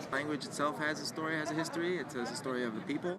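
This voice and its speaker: A man talks at a very fast pace in a fairly high pitch for a man. Room echo is audible, and background noise is noticeable. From Brooklyn, New York. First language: Yiddish. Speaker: artist and rabbi. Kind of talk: interview. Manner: halting, many fillers.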